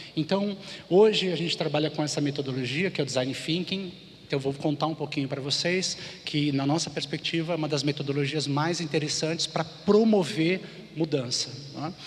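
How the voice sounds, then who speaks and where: Fairly high-pitched man's voice, fairly even intonation, noticeable background noise. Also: moderate pace. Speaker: conference speaker, design thinking consultant. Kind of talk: conference talk.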